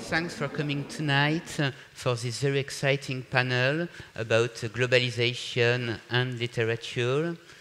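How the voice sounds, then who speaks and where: Speaking at a moderate pace with a French accent, the voice keeps a fairly even intonation over noticeable background noise. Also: man, medium pitch for a man. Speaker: panel moderator. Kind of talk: panel discussion moderation. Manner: halting, many fillers.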